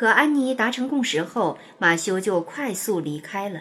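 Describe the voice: Lively intonation marks this plain reading aloud.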